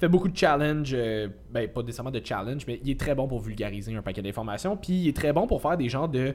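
A man at a medium pitch, talking at a very fast pace with lively intonation, music in the background. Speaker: podcast co-host, fitness coach. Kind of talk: casual chat.

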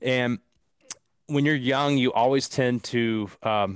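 A man speaks at a medium pitch with an American accent, in an ordinary speaking voice and fairly even intonation. The recording is very clean, with a silent background. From US South, southeastern Kentucky. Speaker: startup founder and CEO. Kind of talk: casual interview.

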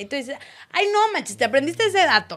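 Very wide pitch swings mark a woman's speech in a very clean recording with a silent background. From Torreón, Comarca Lagunera, northern Mexico. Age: 20s. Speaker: sports commentator. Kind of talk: casual interview chat.

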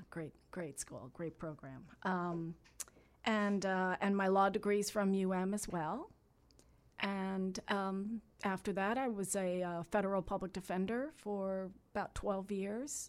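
A woman at a medium pitch, very slow pace and fairly even intonation. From Miami, Florida. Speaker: congressional candidate, former judge. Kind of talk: radio interview. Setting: radio studio.

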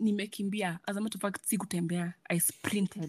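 A woman's somewhat breathy voice. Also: dry, close sound with no echo. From Kenya, Kiambu. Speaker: podcast guest. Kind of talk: casual chat.

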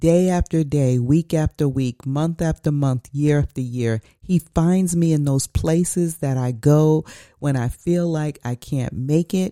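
The delivery is fairly slow and warm in tone, with hardly any pauses. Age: 60s. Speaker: pastor. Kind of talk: devotional talk. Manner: warm, emphatic preaching style.

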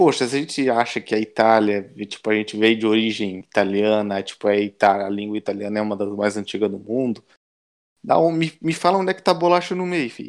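A man talks at a moderate pace and a medium pitch with lively intonation, in an ordinary speaking voice. The background is quiet. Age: 20s. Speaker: Italian-Brazilian emigrant. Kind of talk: interview.

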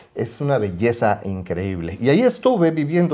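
Noticeable background noise is present. The speaker's pitch swings very widely. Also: man. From Mexico City. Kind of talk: casual chat.

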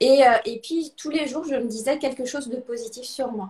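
A woman speaks with ordinary pitch variation. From Alsace, France. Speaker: interview guest. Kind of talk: live video interview.

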